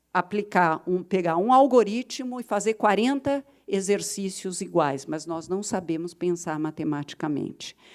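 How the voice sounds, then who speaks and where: Very wide pitch swings mark this voice at a very slow pace. The recording is very clean with a silent background. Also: woman. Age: 60s. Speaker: education policy expert, panelist. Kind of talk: conference panel talk.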